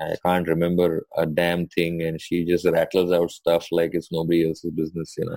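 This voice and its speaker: A man speaks with an Indian accent at a fairly quick pace, with hardly any pauses. His voice is very deep and low, dark and mellow in tone, with a dry, close sound and no echo. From India, Mumbai. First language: Hindi. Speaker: doctor. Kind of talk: casual chat. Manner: animated.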